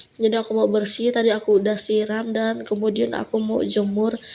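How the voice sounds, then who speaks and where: Her pitch fairly high, a woman speaks at a fairly slow pace in a monotone, flat intonation. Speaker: vlogger. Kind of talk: casual vlog narration. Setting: at home. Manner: casual, chatty.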